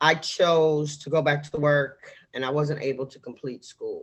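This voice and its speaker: This woman talks very slowly. An American accent shapes her speech. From New York City, Harlem. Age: 60s. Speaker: political candidate. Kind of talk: interview. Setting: podcast.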